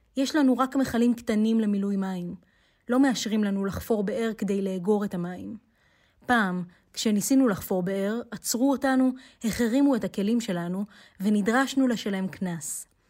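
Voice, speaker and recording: The recording is very clean, with a silent background. A woman speaks fairly slowly at a fairly high pitch, her pitch varying in an ordinary way. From South Hebron Hills, West Bank. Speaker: human rights activist and teacher. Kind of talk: interview.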